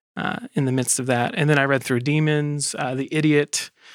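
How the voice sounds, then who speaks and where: Using an ordinary speaking voice, a man with an American accent talks at a fairly slow pace, fairly high in pitch with fairly even intonation. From South Carolina. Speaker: editor. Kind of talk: casual group discussion.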